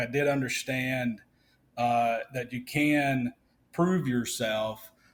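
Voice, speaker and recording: A man with a Mississippi accent on a very clean recording with a silent background. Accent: Mississippi Southern. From US South, Vicksburg, Mississippi. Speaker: trade association executive director. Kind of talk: podcast interview. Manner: hesitant with frequent fillers and repeats.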